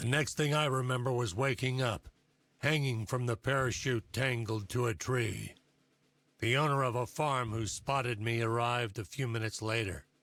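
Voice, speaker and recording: In a put-on character voice, a man speaks at a medium pitch and a moderate pace, with very even loudness and ordinary pitch variation, on a very clean recording with a silent background. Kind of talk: military ceremony speech. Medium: video game.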